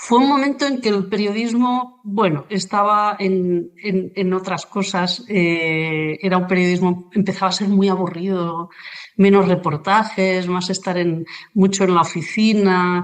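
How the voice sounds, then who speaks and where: With a Catalan accent, a woman talks at a fairly slow pace and a medium pitch. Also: ordinary pitch variation. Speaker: journalist, writer and illustrator. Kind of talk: interview conversation. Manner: halting, many fillers.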